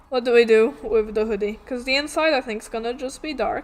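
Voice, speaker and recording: Over music in the background, a woman speaks at a moderate pace with a fairly high pitch. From Poland. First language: Polish. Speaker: vtuber artist streamer. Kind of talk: casual livestream chat while drawing. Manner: casual, halting.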